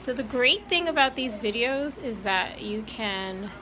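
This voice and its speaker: Audible room echo surrounds a woman who talks at a very slow pace, her fairly high voice bright and sharp. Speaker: math teacher. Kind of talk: tutorial.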